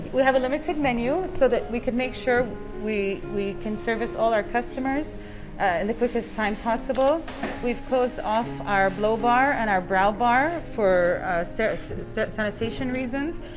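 Speech at a moderate pace, with clear music in the background. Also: woman. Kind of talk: guided tour explanation. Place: shop.

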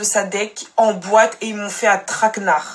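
A woman speaks in an animated tone. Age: young. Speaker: social media storyteller. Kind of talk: personal testimony to followers; casual vlog chat. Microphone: phone near.

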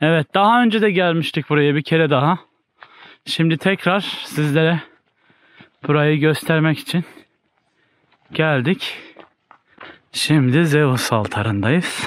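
The speech is very slow, with long, frequent pauses and lively intonation. Loudness stays very even, and the sound is dry with no echo. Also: man, fairly high pitch for a man. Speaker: travel vlogger. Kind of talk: casual vlog narration. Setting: outdoors. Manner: animated. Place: forest. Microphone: phone near.

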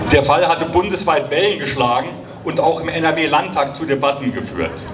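There is noticeable background noise behind a man's voice. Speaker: rally speaker for an antifascist association. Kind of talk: rally speech at a demonstration, formal and prepared. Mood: serious, critical. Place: street. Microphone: handheld.

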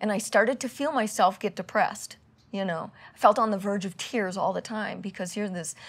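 Her pace fairly quick, a woman speaks with ordinary pitch variation. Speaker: interviewee. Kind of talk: interview answer. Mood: reflective, emotional recollection. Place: home room.

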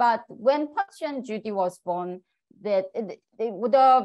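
In a Korean accent, a woman speaks with lively intonation. The background is quiet. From South Korea. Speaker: puppetry scholar, assistant professor. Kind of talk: lecture talk.

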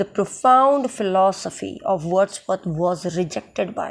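A woman talks in a medium pitch. The amount her pitch varies is ordinary. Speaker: English literature teacher. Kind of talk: lecture.

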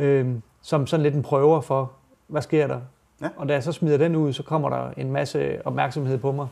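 A man speaks at a moderate pace with a dark, mellow tone and a fairly high pitch. His intonation is monotone and flat. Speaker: rapper. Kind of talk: interview answers. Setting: studio. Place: studio. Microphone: lapel.

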